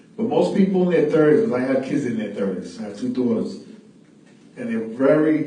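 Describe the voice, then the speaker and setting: A man's moderately paced speech with lively intonation, amid noticeable background noise and audible room echo. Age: 50s. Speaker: radio show host. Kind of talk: casual chat. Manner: animated.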